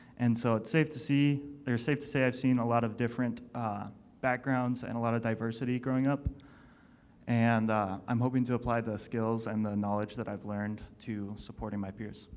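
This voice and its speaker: A man's unremarkable speaking voice, medium in pitch, fairly quick in pace, with fairly even intonation. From US Northwest and rural North Dakota. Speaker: aviation student panelist. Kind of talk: panel discussion.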